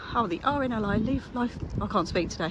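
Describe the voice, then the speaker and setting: There is noticeable background noise as a woman with lively intonation speaks at a moderate speed. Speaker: walking vlogger. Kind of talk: walking vlog commentary. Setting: outdoors, walking by the seafront. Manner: casual, chatty.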